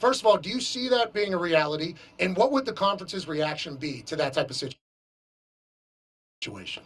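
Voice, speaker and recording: A man talks loudly at a fairly quick clip in a high voice with an animated tone and very wide pitch swings, breaking often into long pauses. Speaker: sports show host. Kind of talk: interview. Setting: stadium.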